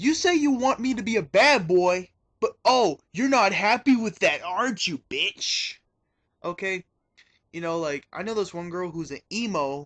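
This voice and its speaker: Against a quiet background, a man talks in an angry tone at a fairly slow pace, with lively intonation, big swings in loudness and a dry, close sound with no echo. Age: 20s. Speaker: video confessional speaker. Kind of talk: personal testimony. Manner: angry, ranting.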